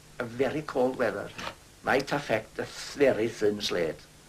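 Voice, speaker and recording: A man speaks in a north Welsh accent. His pitch sits in the medium range. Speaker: retired slate quarryman. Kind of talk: documentary interview.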